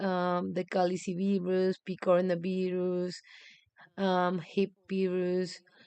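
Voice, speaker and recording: With a Spanish accent, this woman talks at a medium pitch. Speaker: medical student. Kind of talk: exam review livestream. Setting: live stream. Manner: halting, many fillers.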